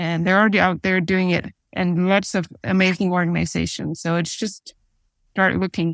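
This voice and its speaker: On a very clean recording with a silent background, a woman speaks at medium pitch and a moderate pace in a monotone, flat intonation, with a dry, close sound with no echo. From Denmark. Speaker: midwife and church mission leader. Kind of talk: interview.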